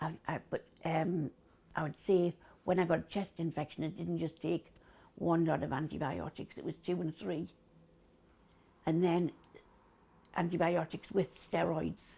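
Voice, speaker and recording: A woman's fairly low voice in a Geordie accent, dark and mellow in tone with vocal fry, fairly even intonation, a fairly slow pace and long, frequent pauses. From Newcastle. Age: 70s. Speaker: COPD patient, former smoker. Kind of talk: interview answer.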